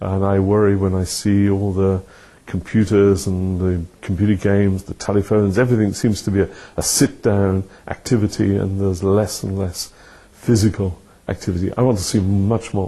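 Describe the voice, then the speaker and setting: A man with a British accent has a fairly low pitch and a dark, mellow tone. His intonation is monotone and flat, at a moderate pace. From United Kingdom. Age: 70s. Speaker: retired professor. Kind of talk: interview.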